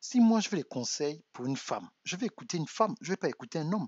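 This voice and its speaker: The soft-spoken man's pitch swings very widely. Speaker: relationship coach. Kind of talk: live stream monologue. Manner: halting, repeats words.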